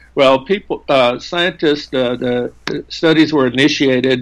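A man's medium-pitched voice at a moderate pace, with vocal fry. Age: 70s. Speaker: neuroscientist. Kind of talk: interview. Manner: halting.

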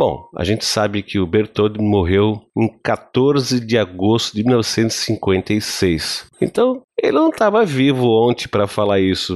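A fairly low-pitched man at a very slow pace, with hardly any pauses. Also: ordinary pitch variation, quiet background. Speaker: podcast host. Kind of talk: casual chat.

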